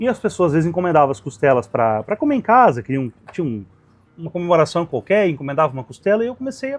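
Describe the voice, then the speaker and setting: A man's high voice at a very fast pace, with very wide pitch swings. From Rio Grande do Sul, Brazil. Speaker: restaurant owner, barbecue cook. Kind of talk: interview answer.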